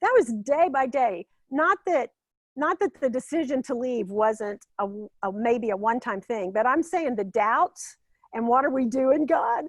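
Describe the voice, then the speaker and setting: A woman speaks at a fairly slow pace with a high pitch, an animated, passionate tone and lively intonation. The sound is dry and close, with no echo. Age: 60s. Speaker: former pastoral care director and health coach. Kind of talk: interview conversation, faith testimony.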